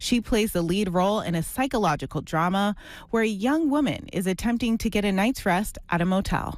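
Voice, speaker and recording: With a plain, everyday voice, a woman at medium pitch talks at a fairly quick pace with lively intonation on a very clean recording with a silent background. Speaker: TV news reporter. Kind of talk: TV news report narration.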